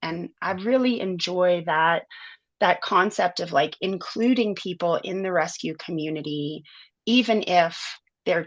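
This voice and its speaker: An unremarkable speaking voice with an American accent, a fairly slow pace and ordinary pitch variation over a quiet background. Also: woman, medium pitch for a woman. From US South, inner city New Orleans. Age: 40s. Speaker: animal sanctuary director. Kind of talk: interview conversation.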